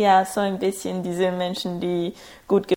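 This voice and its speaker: A woman's medium-pitched voice in a Spanish accent, fairly slow and monotone with flat intonation. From Ecuador, small conservative town. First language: Spanish (speaking German). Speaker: student and international organization employee. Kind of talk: casual interview.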